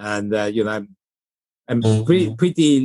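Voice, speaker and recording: In a dry, close recording with no echo, a man with a Japanese accent talks in a fairly low voice. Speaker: investor and former banker. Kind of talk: interview. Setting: remote call. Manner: halting, many fillers and repeated words.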